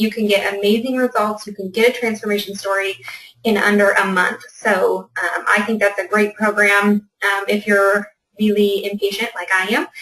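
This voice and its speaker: A woman at a medium pitch talks with monotone, flat intonation. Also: moderate pace. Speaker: fitness business coach. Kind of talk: webinar presentation.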